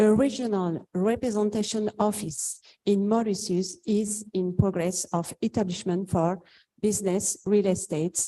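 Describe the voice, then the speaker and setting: This woman has a French accent and a dark, mellow tone at medium pitch. She speaks fairly slowly with fairly even intonation. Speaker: lawyer. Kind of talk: panel introduction.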